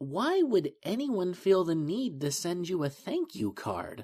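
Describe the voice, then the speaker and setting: A man's put-on character voice, high in pitch, with very wide pitch swings. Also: fairly slow pace. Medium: read story. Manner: slightly stammering, polite.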